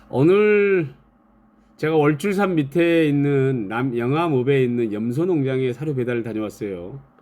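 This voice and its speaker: Speaking at a fairly slow pace with a strong Jeolla accent, a man with a fairly high pitch and a dark, mellow tone uses lively intonation. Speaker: YouTuber, feed delivery worker. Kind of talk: live stream casual talk. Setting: live stream with chat.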